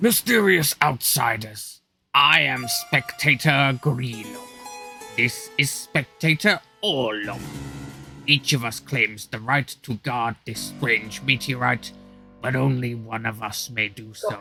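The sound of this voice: Faint music plays in the background as a man uses a put-on character voice at medium pitch and a fairly slow pace.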